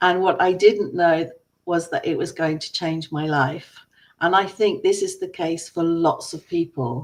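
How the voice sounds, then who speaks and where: A woman speaks at a fairly slow pace in an English accent. Her pitch is fairly low, with ordinary variation. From England. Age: 60s. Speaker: online business owner. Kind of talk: personal testimony.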